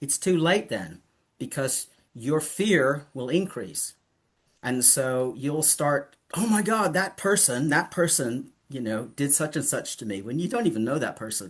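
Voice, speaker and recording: Against a quiet background, a man speaks slowly-ish in a fairly high pitch, somewhat breathy, with very wide pitch swings. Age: 70s. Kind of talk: casual interview chat.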